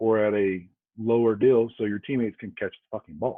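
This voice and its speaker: At a moderate pace, a man talks in an American accent at a medium pitch. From US South. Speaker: former police officer. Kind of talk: casual interview chat.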